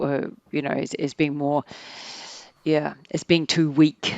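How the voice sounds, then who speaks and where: With a New Zealand accent, a woman speaks at a very deep, low pitch. Her intonation is fairly even and her pace fairly slow. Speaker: organizational psychologist. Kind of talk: podcast interview.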